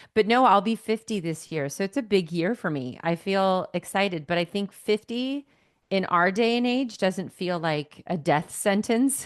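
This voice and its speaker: A woman with an ordinary speaking voice speaks at medium pitch and a moderate pace with lively intonation, recorded dry and close with no echo. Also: quiet background. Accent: American. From California. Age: 40s. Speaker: actress and podcaster. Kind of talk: casual chat.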